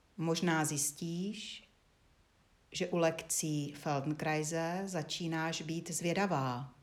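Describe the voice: A woman talks in a low pitch with fairly even intonation.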